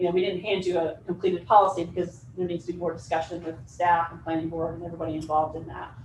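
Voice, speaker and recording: With noticeable background noise around her, a woman rushes along at a very fast pace with hardly any pauses in a monotone, flat intonation. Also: fairly low pitch for a woman, big swings in loudness. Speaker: planning consultant. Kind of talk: presentation to county board.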